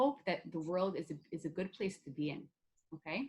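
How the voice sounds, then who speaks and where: Fairly low pitch and a somewhat breathy quality in a woman's voice. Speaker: workshop facilitator. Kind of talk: online workshop lecture. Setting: video call. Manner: fast.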